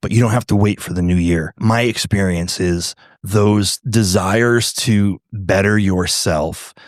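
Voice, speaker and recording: A man with an unremarkable speaking voice talks fairly slowly at a fairly low pitch, with fairly even intonation and hardly any pauses. The recording is very clean, with a silent background. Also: dry, close sound with no echo. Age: 60s. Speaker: pastor. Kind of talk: casual chat. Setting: brewery.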